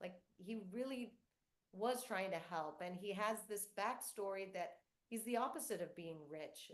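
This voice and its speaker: This woman has an unremarkable speaking voice at a medium pitch. She speaks at a fairly slow pace with ordinary pitch variation. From US South, North Florida, Cuban-American family. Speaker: children's book author. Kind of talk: author Q&A with school students.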